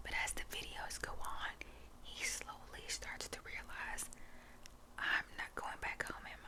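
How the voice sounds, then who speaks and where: Whispering comes at a fairly slow pace against noticeable background noise. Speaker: ASMR creator. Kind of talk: ASMR whispered storytelling. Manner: casual, halting with fillers.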